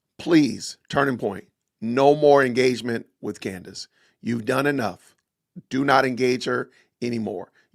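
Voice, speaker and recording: A man's loud, raspy put-on character voice at medium pitch and a moderate pace, with long, frequent pauses. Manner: talking loud.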